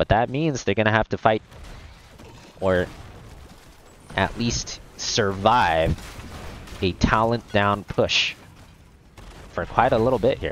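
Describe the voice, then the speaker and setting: Speaking at a very slow pace with long, frequent pauses, a man uses a fairly low pitch and ordinary pitch variation, recorded with a dry sound, no echo and light background noise. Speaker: esports shoutcaster. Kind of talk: esports shoutcasting.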